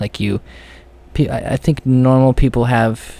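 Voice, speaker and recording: A man speaks in a dark, mellow tone with monotone, flat intonation. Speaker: podcaster sharing personal anxiety story. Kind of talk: personal monologue podcast. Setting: alone in a room. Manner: halting, many fillers and repetitions; voice cracking.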